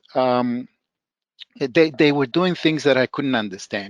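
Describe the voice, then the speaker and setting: A man with a Spanish accent and ordinary pitch variation, in a dry, close recording without echo. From El Salvador. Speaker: professor. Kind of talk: podcast interview. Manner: halting, many fillers and restarts.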